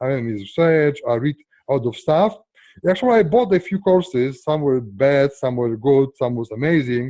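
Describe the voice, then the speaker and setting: A man's dark, mellow tone with lively intonation, recorded dry and close with no echo. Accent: strong non-native. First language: not English. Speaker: software entrepreneur. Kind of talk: interview. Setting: call. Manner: halting.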